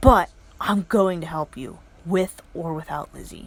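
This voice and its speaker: A woman's gruff, put-on character voice, fairly low in pitch, at a moderate pace. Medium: read story. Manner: gruff, curt.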